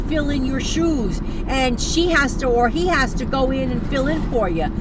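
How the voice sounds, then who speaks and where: A high-pitched woman's voice amid noticeable background noise and audible room echo. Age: 70s. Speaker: online business coach and vlogger. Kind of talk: casual livestream talk. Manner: halting, many fillers and restarts.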